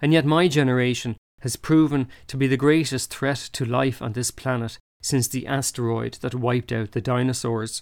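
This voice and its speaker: A man speaks with an Irish accent at a medium pitch. His pace is moderate and his intonation fairly even. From Ireland. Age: 40s. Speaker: ecologist and author. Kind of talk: scripted narration.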